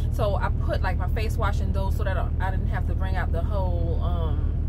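A woman at a moderate pace, with loud background noise behind her. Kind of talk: casual vlog chat. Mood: relaxed, chatty. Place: car. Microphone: phone near.

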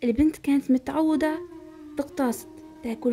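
With a Moroccan accent, a woman speaks in a calm tone at a moderate pace, her pitch high and her intonation fairly even. Music can be heard behind her. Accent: Moroccan Arabic (Darija). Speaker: storyteller. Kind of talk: folk tale narration for relaxation and sleep.

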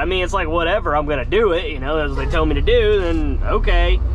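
A man talks at a very fast pace, the sound dry with no echo and noticeable background noise. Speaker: truck driver vlogger. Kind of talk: casual vlog chat. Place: car. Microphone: phone near.

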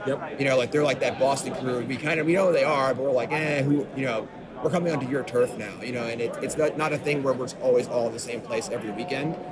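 This man talks very fast with hardly any pauses, in an American accent and a medium pitch. His pitch moves in an ordinary way, and background noise is noticeable. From US Northeast, Long Island. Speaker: professional card game player. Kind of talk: casual chat. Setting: at a card game tournament venue.

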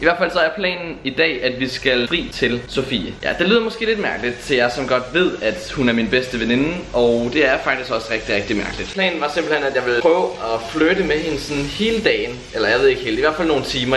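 Light background noise and audible room echo surround the voice. A man speaks at a fairly quick pace. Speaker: vlogger. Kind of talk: casual vlog chat. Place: cafe. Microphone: phone near.

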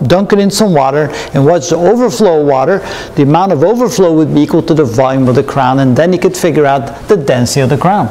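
The intonation is lively. A man delivers it at a fairly quick pace. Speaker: physics lecturer. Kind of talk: lecture. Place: studio.

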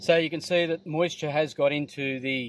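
The pace is fairly slow. Intonation stays fairly even. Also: man.

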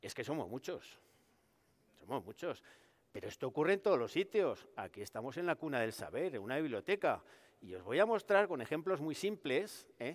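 With vocal fry and very wide pitch swings, a man speaks at a moderate pace in a fairly high voice. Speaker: researcher comedian. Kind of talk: stand-up science monologue. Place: hall.

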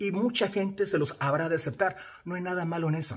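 Against a quiet background, a man with a Mexican accent talks fairly quickly in an animated tone and high pitch. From Mexico. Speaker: social media influencer. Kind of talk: video commentary. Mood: indignant, reproachful. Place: home room. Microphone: phone near.

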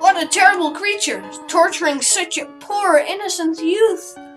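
A woman's put-on character voice, extremely high-pitched, with music playing in the background. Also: moderate pace. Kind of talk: gameplay commentary, reading character dialogue aloud. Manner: gentle, warm, maternal.

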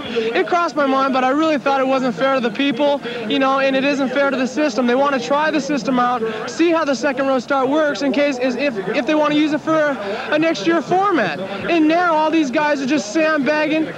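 A man at an extremely high pitch with ordinary pitch variation, a fairly quick pace and very even loudness, in a dry sound with no echo amid noticeable background noise. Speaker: professional motocross racer. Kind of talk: interview answer to a reporter. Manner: indignant, forceful, speaking with conviction. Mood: indignant, frustrated. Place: stadium. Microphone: handheld.

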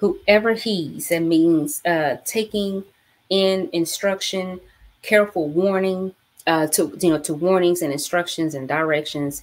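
This woman speaks at a very slow pace. Her fairly low pitch shows ordinary variation. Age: 40s. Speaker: bible study host. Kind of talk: live-streamed bible study. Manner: animated. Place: home room. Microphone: webcam.

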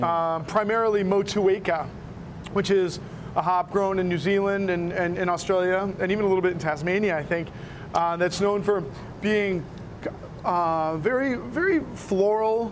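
At a moderate pace, a man with a high pitch speaks against noticeable background noise. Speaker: guest. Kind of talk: interview answer. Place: bar.

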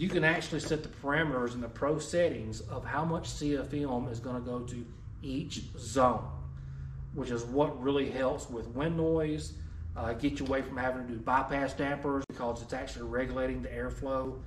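With light background noise and audible room echo, a man speaks at a moderate pace with fairly even intonation. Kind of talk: product explanation. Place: shop.

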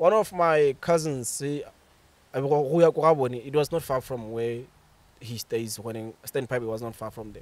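A man with a Botswana accent, very slow pace, ordinary pitch variation and big swings in loudness, on a dry sound with no echo. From Botswana, Bobonong. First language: Setswana. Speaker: author and creative writer; podcast guest. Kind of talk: casual chat. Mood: relaxed, reflective. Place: garden. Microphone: studio mic.

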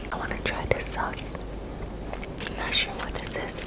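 A soft-spoken woman whispers at a moderate pace against loud background noise. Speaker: food vlogger. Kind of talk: casual vlog chat. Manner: soft close ASMR whisper. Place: home room.

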